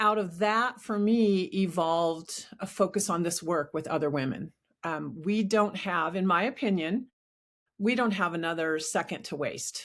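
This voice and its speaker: On a very clean recording with a silent background, the voice moves at a moderate pace with ordinary pitch variation. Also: woman, medium pitch for a woman. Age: 60s. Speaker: life coach. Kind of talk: interview. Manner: halting.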